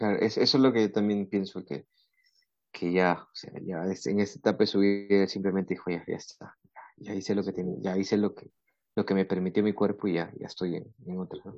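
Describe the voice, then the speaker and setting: A man's fairly low voice, a normal speaking voice, with fairly even intonation and big swings in loudness. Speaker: podcast host. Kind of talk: casual chat.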